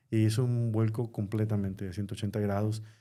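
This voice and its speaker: A man with a dark, mellow tone talks at a medium pitch and fairly quick pace, his intonation fairly even. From Mexico (Sinaloa, Culiacán). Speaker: pastor and Spanish radio Bible teacher. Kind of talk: personal testimony in podcast interview. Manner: measured, pausing with fillers.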